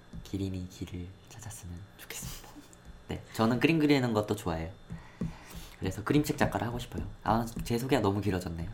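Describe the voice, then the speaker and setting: Very fast bursts of speech are broken by long, frequent pauses over noticeable background noise. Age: 20s. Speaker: podcast co-host, creative writing student. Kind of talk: casual chat.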